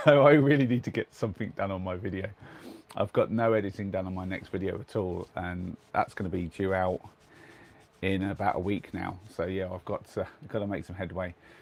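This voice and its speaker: With an English accent, a man speaks at a fairly quick pace in a very deep, low voice with ordinary pitch variation. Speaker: vlogger. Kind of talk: casual chat. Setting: in a converted van.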